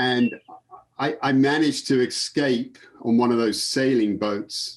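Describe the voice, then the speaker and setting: A man speaks with an English accent. His pitch sits in the medium range. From England. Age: 50s. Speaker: sports photographer. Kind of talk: casual interview.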